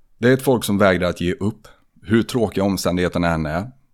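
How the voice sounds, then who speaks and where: A man speaks at a fairly low pitch and fairly quick pace, in an ordinary speaking voice. His pitch varies in an ordinary way, and the recording is very clean with a silent background. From Sweden, Tidaholm area. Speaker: podcast host and personal trainer. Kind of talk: scripted intro monologue; casual chat.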